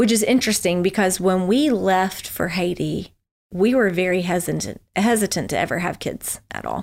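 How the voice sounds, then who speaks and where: A woman with a Southern US accent at a medium pitch, with vocal fry, ordinary pitch variation, a moderate pace and a very clean recording over a silent background. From US South, Memphis, Tennessee. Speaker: former missionary. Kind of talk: casual interview.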